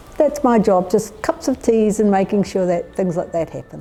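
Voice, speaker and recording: Noticeable background noise runs behind this voice. A woman speaks with a New Zealand accent. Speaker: community volunteer. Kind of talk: documentary interview.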